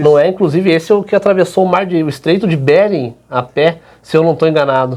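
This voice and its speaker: At a very fast pace, a man with a high voice talks at very even loudness and ordinary pitch variation. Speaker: radio interviewer. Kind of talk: radio interview questions.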